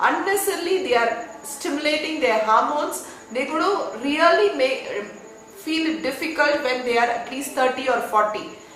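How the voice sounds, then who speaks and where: Noticeable background noise and audible room echo surround a woman whose high voice has lively intonation. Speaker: spiritual education teacher. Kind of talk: online talk. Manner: soft-spoken; slow.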